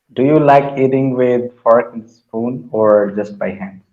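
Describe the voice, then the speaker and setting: A man with a non-native accent speaks fairly slowly at a medium pitch. His pitch varies in an ordinary way. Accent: mild non-native. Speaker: English learner. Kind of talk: casual chat. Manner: halting.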